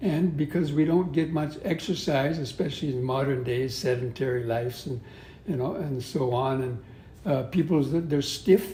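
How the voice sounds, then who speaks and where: In an American accent, a somewhat breathy voice with a dark, mellow tone moves at a moderate pace with ordinary pitch variation and audible room echo. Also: man, fairly high pitch for a man. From US West (Southern California). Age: 70s. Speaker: Buddhist monk and yoga teacher. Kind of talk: interview. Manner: halting.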